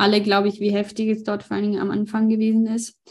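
A woman speaks in a monotone with flat intonation. Her voice is somewhat breathy. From Ukraine. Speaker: interpreter and aid volunteer. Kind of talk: interview with live interpreting.

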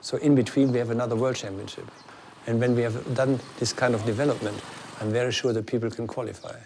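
Speaking at a very fast pace with a German accent, a man keeps his medium-pitched voice in a monotone, flat intonation. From Germany. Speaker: athletics coach. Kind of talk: interview.

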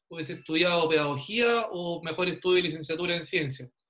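A man talks at a moderate pace. His voice is high, with a bright, sharp tone. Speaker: podcast host, fitness trainer. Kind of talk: casual chat.

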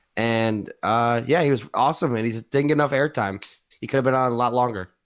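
A normal speaking voice moves at a moderate pace, its pitch varying in an ordinary way. The background is silent and the recording very clean. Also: man. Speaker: podcast host. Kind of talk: casual banter podcast. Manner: joking, banter.

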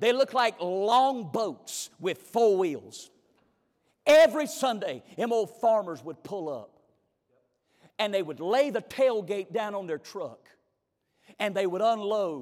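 A man speaks in a Southern US accent at a high pitch. His fairly slow delivery has very wide pitch swings. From US South, North Carolina. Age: 30s. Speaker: guest preacher. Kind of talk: sermon. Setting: church.

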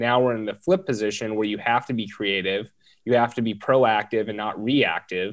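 A man with an American accent at medium pitch, fairly even intonation and a moderate pace, against a quiet background. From Southern California. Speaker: multifamily real estate investor. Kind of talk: casual interview.

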